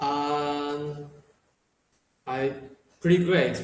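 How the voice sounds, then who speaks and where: A man speaks at a very slow pace and a fairly high pitch, with audible room echo. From Taiwan. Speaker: English learner. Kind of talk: interview. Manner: halting, many repetitions and fillers.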